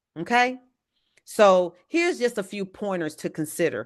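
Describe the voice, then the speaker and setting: A woman speaks with an animated tone and lively intonation at a moderate pace. The background is quiet. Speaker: evangelist teaching a leadership class. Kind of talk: lecture.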